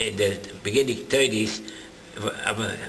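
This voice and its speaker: A man speaks in a fairly low pitch with monotone, flat intonation, over noticeable background noise and audible room echo. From Germany (Dessau, Leipzig). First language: German. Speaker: Holocaust survivor. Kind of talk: interview testimony. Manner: halting.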